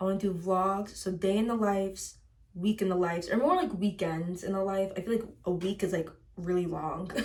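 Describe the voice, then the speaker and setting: In an American accent, a woman speaks somewhat breathily at a moderate pace and medium pitch, with ordinary pitch variation. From US Midwest, Chicago suburbs. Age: 20s. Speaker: lifestyle vlogger. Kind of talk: casual chat. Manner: animated.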